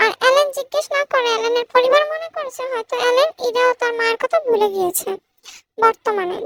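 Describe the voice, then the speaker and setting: In a put-on character voice, the speaker goes extremely high in pitch at a fairly quick pace. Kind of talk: emotional story reading. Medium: read story. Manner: calm, measured.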